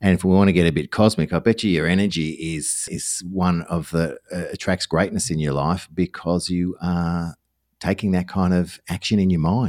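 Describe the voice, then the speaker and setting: This man has an Australian accent and a very deep, low pitch. He speaks at a moderate pace with fairly even intonation. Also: dry, close sound with no echo. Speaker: podcast host, former radio broadcaster. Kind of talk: interview conversation. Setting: remote video call.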